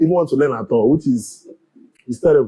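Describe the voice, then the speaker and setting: This man speaks with a Nigerian accent. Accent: Nigerian Igbo English. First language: Igbo. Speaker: community leader. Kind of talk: interview.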